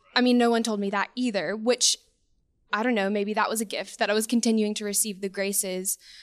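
Speaking with an American accent, a woman uses a fairly high pitch and a fairly quick pace. Her intonation is flat and monotone. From US South, coastal Alabama. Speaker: young adult parishioner. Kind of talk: faith testimony.

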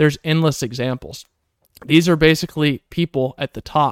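The recording is very clean, dry and close with no echo and a silent background, as a man with an ordinary speaking voice talks at a moderate pace with fairly even intonation. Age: 30s. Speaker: podcast host. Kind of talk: solo monologue podcast.

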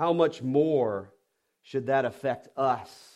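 A man with a Southern US accent at a very slow pace. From US South. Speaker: pastor. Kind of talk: sermon. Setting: church.

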